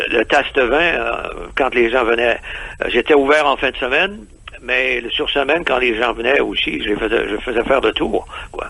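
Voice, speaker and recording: A man in a Quebec accent speaks at a moderate pace and medium pitch, with ordinary pitch variation. He takes long, frequent pauses over noticeable background noise. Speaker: expatriate entrepreneur. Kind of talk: radio interview. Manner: halting, many hesitations.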